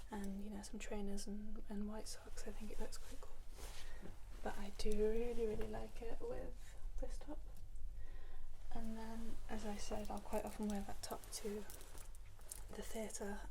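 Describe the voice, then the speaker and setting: Soft-spoken and with a British accent, the speaker moves at a fairly slow pace with long, frequent pauses over noticeable background noise. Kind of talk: ASMR clothing try-on talk.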